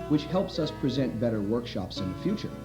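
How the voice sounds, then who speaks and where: Over background music, a man speaks with very wide pitch swings. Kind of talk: promotional narration.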